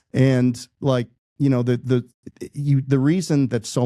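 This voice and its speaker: A man's medium-pitched voice, dark and mellow in tone, in a very clean recording with a silent background and a dry, close sound free of echo. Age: 50s. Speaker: entrepreneur and franchise founder. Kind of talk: podcast interview. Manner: halting, many fillers and repetitions.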